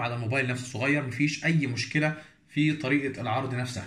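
Speaking at a very fast pace, a man with a medium pitch and a bright, sharp tone keeps his intonation fairly even amid audible room echo. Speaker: tech YouTuber. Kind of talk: tutorial. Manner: casual.

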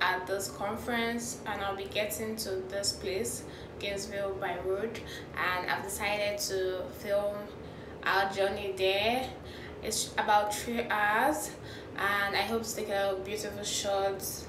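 A woman speaks at a fairly slow pace. Noticeable background noise runs behind her. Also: fairly even intonation. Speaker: travel vlogger. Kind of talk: casual vlog chat. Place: home room. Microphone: phone near.

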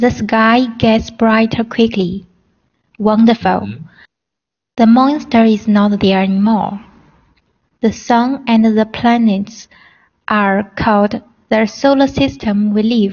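A woman's fairly high, somewhat breathy voice at a very slow pace, fairly even intonation, long, frequent pauses. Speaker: student. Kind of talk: reading aloud.

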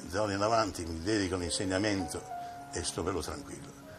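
Very fast speech over clear music in the background. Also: man. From Italy. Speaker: opera bass singer and teacher. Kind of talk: interview answer. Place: home room. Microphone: old recording.

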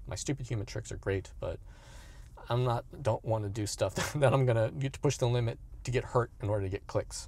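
A man's somewhat breathy voice with fairly even intonation, in a dry sound with no echo. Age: 50s. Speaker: youtuber, fitness content creator. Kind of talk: casual vlog monologue. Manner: halting, many fillers. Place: car. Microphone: phone near.

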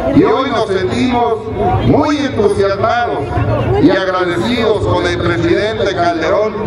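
Amid loud background noise and audible room echo, a man speaks at a very slow pace. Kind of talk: public speech. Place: stadium. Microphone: podium.

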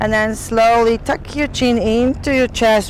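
Clear background noise sits behind a woman with fairly high pitch. She talks at a fairly slow pace with fairly even intonation.

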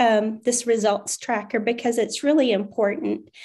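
A woman's fairly high, fairly even voice, a plain, everyday voice, against a quiet background. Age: 40s. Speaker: wellness product presenter; presenter. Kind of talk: personal testimony and sales pitch. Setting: video call. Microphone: video call.

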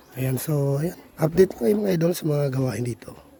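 Noticeable background noise sits behind this man's voice. He speaks at a fairly quick pace with ordinary pitch variation. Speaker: vlogger. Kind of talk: casual vlog narration.

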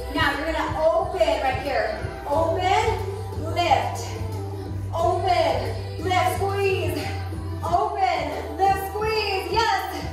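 Delivered at a very slow pace, the speech carries strong room echo over clear music in the background. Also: woman. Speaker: fitness instructor. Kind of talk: workout class cueing. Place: gym.

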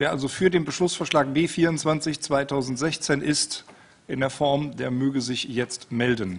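A man talks at a very slow pace. His pitch variation is ordinary. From Rhineland, Germany (Hürth); Rhineland, Germany. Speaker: meeting chair. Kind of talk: meeting moderation. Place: meeting room. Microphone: podium.

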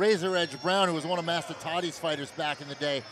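The sound is dry with no echo, with light background noise. A man speaks with ordinary pitch variation. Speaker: fight color commentator. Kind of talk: commentary. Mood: admiring, enthusiastic.

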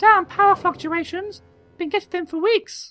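A put-on character voice, squeaky and extremely high, speaks at a moderate pace. Faint music plays in the background. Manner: frustrated, complaining about power fluctuations.

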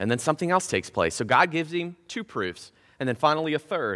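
Over a quiet background, a man with a fairly high voice speaks in a bright, sharp tone marked by vocal fry. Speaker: preacher giving a sermon. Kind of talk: casual, humorous sermon delivery. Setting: church service. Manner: fast talker. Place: church. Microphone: headset.

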